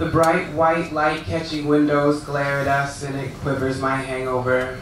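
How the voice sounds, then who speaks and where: Amid noticeable background noise and audible room echo, a man with an American accent speaks fairly slowly in a monotone, flat intonation at a fairly high pitch. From California. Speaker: poet. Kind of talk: poetry reading. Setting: stage with audience.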